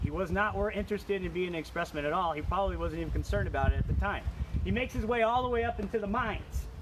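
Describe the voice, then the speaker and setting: Speaking very fast, a man is heard. Behind him lies noticeable background noise. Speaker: state park interpreter. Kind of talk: virtual tour for children, live stream. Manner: casual, enthusiastic.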